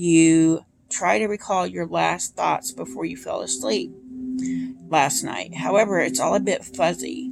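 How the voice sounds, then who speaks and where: A raspy, put-on character voice from a woman, fairly low in pitch, at a moderate pace with music in the background. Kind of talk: second-person adventure story reading. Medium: solo performance.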